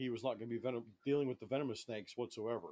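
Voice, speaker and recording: Very fast speech from a man at medium pitch, with ordinary pitch variation. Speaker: reptile keeper and snake handling trainer. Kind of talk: casual live stream talk.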